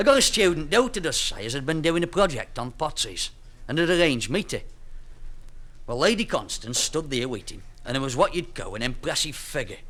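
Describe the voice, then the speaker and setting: Speaking at a fairly quick pace in a Staffordshire Potteries accent, a man with a fairly high pitch and a bright, sharp tone makes very wide pitch swings. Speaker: storyteller. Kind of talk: comic dialect story.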